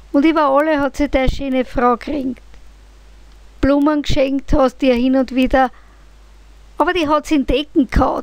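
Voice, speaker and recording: In a Viennese accent, a woman talks at a moderate pace with monotone, flat intonation and very even loudness. Her pitch is high, and she leaves long, frequent pauses. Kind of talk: poetry reading.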